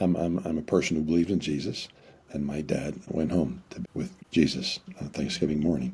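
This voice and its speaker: Dark and mellow in tone, a man's very deep, low voice carries vocal fry as he talks at a fairly quick pace. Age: 60s. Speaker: marriage counselor and author. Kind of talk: interview conversation. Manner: halting, repeats words.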